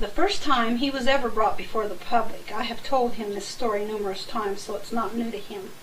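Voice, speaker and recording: A woman's fairly high voice at a fairly quick pace, with audible room echo and noticeable background noise. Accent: American. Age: 60s. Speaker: family elder giving a birthday tribute. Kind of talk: personal reminiscence to camera.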